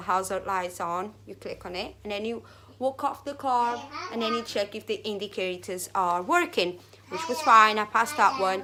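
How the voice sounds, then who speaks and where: A woman speaks at a moderate pace with a non-native accent and a bright, sharp tone. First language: not English. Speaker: vlogger. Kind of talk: casual vlog monologue. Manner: halting.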